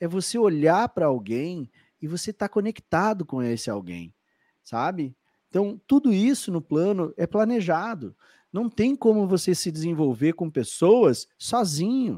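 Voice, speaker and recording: In a strong gaúcho accent, a man speaks fairly slowly in a high voice with a dark, mellow tone and very wide pitch swings, recorded dry and close with no echo. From southern Brazil, Porto Alegre. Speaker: podcast host and flight attendant coach. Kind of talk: live-streamed interview podcast. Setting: live stream video call. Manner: animated.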